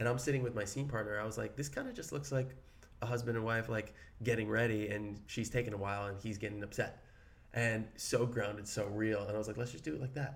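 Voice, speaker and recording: Here a man with an American accent talks at a very fast pace, his pitch medium and his intonation fairly even. Audible room echo surrounds his voice. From Brooklyn, New York. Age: 30s. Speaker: actor, podcast co-host. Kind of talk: casual chat.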